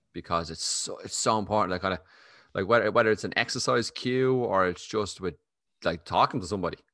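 With an Irish accent, a man talks at a very fast pace in a fairly low pitch, his tone bright and sharp, with ordinary pitch variation and a quiet background. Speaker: podcast host. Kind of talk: casual interview chat. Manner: fast talker.

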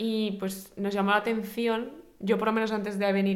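At a moderate pace, a woman speaks at medium pitch with fairly even intonation. Room echo is audible. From Spain. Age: 20s. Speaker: podcast co-host. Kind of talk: casual chat.

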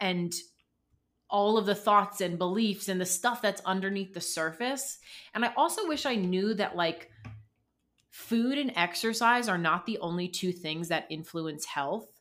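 In an unremarkable speaking voice, a woman talks fairly slowly at medium pitch with lively intonation, over a very clean, silent background. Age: 30s. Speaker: dietitian. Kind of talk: casual interview.

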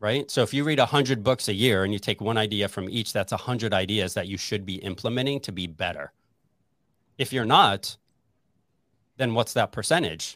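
With an unremarkable speaking voice, a man talks at a fairly quick pace in a fairly low pitch with ordinary pitch variation. The recording is very clean, with a silent background and a dry, close sound with no echo. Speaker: real estate agent and podcast host. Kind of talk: casual interview.

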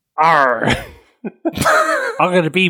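A put-on character voice is used, pitched in the middle range.

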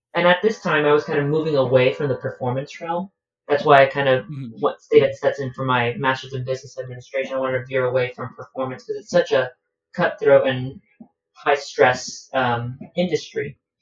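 A man talks at a fairly quick pace in a fairly high voice, somewhat breathy, with big swings in loudness. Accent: American. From Miami, Florida, US. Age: 20s. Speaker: cruise ship staff member and traveler. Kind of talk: casual chat.

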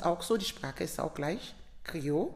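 The speaker is a woman with a Sierra Leonean accent. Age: 50s. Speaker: nurse. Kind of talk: interview.

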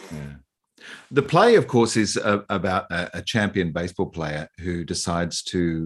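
Here is a man with an Australian accent. His pitch is very deep and low. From eastern Australia. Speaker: podcast host. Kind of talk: interview.

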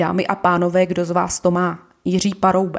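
A woman talks at a medium pitch. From Ostrava, Czechia. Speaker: podcast host, shop manager. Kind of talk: political monologue podcast.

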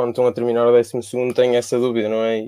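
In a dry, close sound with no echo, a man speaks at medium pitch with a dark, mellow tone. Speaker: pharmacy student. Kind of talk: casual chat.

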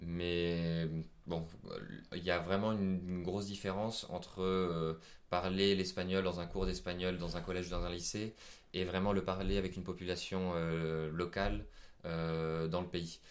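In a very deep, low voice, a man speaks at a fairly slow pace with monotone, flat intonation and audible room echo. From France. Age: 20s. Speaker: traveller. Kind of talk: interview. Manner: halting.

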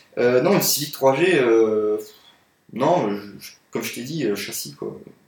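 Delivered at a very slow pace, the voice has lively intonation and audible room echo. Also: man, long, frequent pauses, big swings in loudness. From France, Paris. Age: 20s. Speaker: car photographer. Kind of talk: casual chat.

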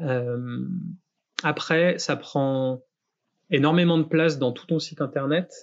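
A man's fairly high pitch and fairly even intonation at a very slow pace, broken by long, frequent pauses. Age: 30s. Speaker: graphic design studio founder, podcast host. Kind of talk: casual chat, portfolio review. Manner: halting.

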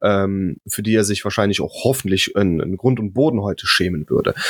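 In a normal speaking voice, a man talks at a fairly low pitch with ordinary pitch variation, the sound dry and close with no echo. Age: 30s. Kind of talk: casual chat.

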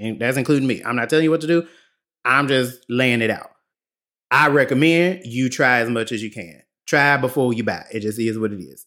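A man with a medium-pitched voice speaks at a fairly quick pace in a bright, sharp, animated tone with ordinary pitch variation, on a very clean recording with a silent background. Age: 30s. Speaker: podcast host. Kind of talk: casual storytelling monologue. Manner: animated, laughing often.

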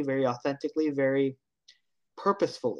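With a Canadian accent, a man speaks at a medium pitch and keeps his intonation fairly even. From Canada (Hamilton, Ontario). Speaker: accessibility speaker and consultant. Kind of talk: interview.

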